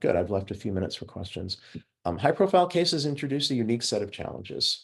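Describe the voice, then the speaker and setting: Over a quiet background, a man's voice swings very widely in pitch. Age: 60s. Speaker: forensic psychologist. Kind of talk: lecture. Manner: halting.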